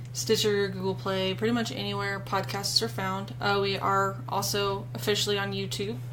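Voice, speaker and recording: Moderately paced female speech with audible room echo and noticeable background noise. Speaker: podcast co-host. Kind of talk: casual chat. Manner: loud; animated.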